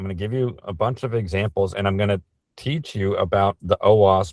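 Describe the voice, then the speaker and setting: A man speaks in a normal speaking voice, fairly low in pitch with ordinary variation. His pace is moderate, and the sound is dry and close with no echo. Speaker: cybersecurity speaker. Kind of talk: webinar presentation.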